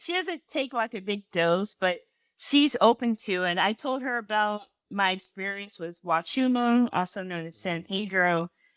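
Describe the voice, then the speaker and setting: A woman's fairly high-pitched, normal speaking voice with an American accent, at a moderate pace, on a very clean recording with a silent background. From US South, South Carolina. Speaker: activist, community organizer. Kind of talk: interview conversation.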